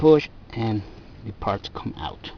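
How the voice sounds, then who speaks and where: A man with a non-native accent speaks at a medium pitch with lively intonation. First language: not English. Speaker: DIY car repair video maker. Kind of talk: tutorial.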